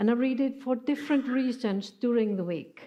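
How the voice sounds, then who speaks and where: This woman speaks with a non-native accent. Her pitch varies in an ordinary way. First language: not English. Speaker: preacher. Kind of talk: sermon. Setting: church. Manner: halting.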